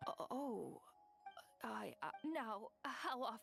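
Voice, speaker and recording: A woman speaks in a put-on character voice pitched high. Music plays in the background. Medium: video game. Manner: hesitant, halting.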